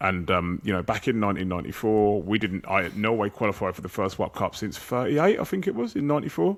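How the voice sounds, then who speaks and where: Very fast, with hardly any pauses: a man's fairly low voice with an English accent and ordinary pitch variation, on a very clean recording with a silent background. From England. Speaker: football podcast host. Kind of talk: casual chat.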